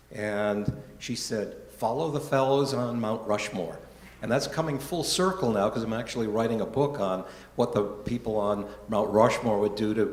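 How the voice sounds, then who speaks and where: Amid audible room echo and noticeable background noise, a man at a medium pitch speaks at a moderate pace with ordinary pitch variation. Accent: American. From Rhode Island, US New England. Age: 70s. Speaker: church member giving life story talk. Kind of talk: personal testimony talk. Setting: church gathering, live-streamed.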